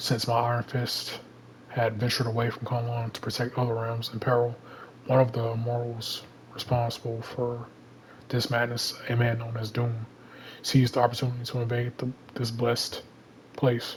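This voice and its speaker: Over noticeable background noise, a man with a medium pitch speaks at a moderate pace in a monotone, flat intonation, with long, frequent pauses. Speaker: gaming channel creator. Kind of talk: reading aloud. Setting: home bedroom. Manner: stutters at times.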